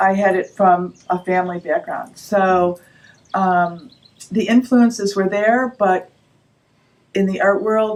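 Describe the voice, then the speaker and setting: Her pitch is medium and her intonation fairly even. The woman speaks at a very slow pace with long, frequent pauses. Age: 60s. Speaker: painter. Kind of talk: interview. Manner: halting.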